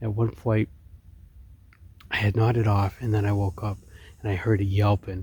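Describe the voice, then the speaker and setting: A man talks at a moderate pace in a fairly low pitch, with a dark, mellow tone. His voice is somewhat breathy and his intonation fairly even. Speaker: outdoor vlogger. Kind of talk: casual vlog narration. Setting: outdoors at a campsite.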